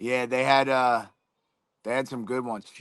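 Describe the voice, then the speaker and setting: A fairly slow delivery with a Philadelphia accent over a quiet background. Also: man. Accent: Delco (Philadelphia). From Delaware County, Pennsylvania (Philadelphia area). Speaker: MMA fighter. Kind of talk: casual interview chat.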